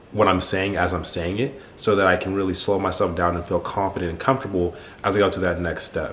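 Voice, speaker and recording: Against noticeable background noise, a man talks fairly quickly at a very deep, low pitch with fairly even intonation. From United States. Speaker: YouTuber, athlete and self-improvement coach. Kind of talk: personal story monologue to camera. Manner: fast; casual, informal.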